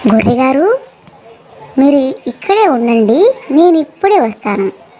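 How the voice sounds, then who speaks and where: At a moderate pace, a woman does a high-pitched, cartoonish character voice. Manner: sly, wheedling.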